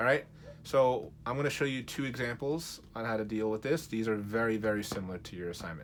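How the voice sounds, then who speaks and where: Medium in pitch and quick-ish in pace, a man uses a plain, everyday voice whose pitch varies in an ordinary way. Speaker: math teacher. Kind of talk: tutorial.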